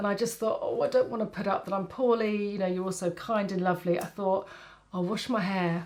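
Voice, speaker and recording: A woman with an English accent talks at a fairly quick pace with monotone, flat intonation. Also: medium pitch for a woman. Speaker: makeup artist and beauty vlogger. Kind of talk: casual vlog chat. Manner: chatty, hesitant.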